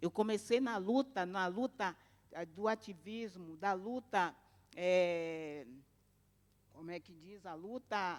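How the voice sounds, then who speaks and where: On a very clean recording with a silent background, a woman of medium pitch speaks at a very slow pace, with long, frequent pauses and big swings in loudness. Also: ordinary pitch variation. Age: 60s. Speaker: domestic workers' union activist. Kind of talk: conference talk.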